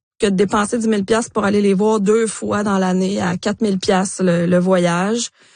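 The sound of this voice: The intonation stays fairly even. The tone is slightly mellow. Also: woman.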